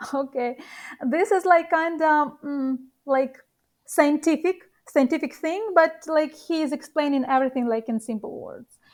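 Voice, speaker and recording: Spoken at a moderate pace with a non-native accent, the voice shows ordinary pitch variation and big swings in loudness in a very clean recording with a silent background. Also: woman, high pitch for a woman. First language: not English. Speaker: professional poker player. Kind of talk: interview. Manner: halting.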